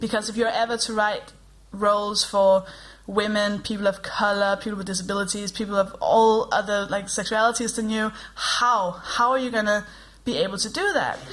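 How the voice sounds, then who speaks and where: Speaking with a Danish accent, a woman talks at a moderate pace in a fairly high voice with monotone, flat intonation. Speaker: comedian and podcast co-host. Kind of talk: live comedy podcast chat. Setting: stage with live audience.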